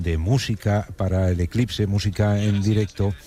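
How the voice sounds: A man's fairly low, slightly mellow voice with fairly even intonation.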